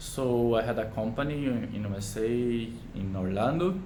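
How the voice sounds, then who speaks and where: A man's fairly low voice at a fairly slow pace, with audible room echo and noticeable background noise. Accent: Brazilian Portuguese. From Brazil, Manaus (Amazonas). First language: Portuguese. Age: 30s. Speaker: doctor and English learner. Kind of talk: self-introduction video. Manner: halting.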